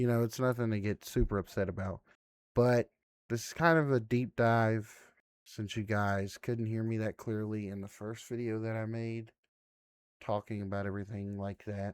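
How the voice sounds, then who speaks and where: A man with a fairly low pitch talks at a moderate pace with fairly even intonation, in a dry, close sound with no echo. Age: 20s. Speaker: gaming YouTuber. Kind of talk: casual gameplay commentary. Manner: relaxed, frequent filler words.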